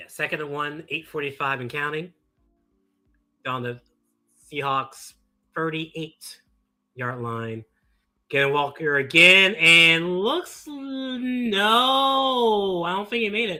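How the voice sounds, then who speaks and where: Over music in the background, a man speaks at a high pitch and very slow pace, with very wide pitch swings, big swings in loudness and long, frequent pauses. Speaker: streamer reacting to live sports. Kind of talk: live reaction commentary. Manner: animated.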